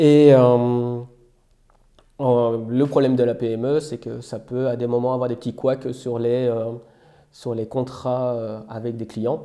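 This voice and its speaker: A man's dark, mellow voice with a slight Belgian accent, a very slow pace, monotone, flat intonation and long, frequent pauses. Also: medium pitch for a man. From Belgium. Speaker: software engineer. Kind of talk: casual interview. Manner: hesitant, many fillers.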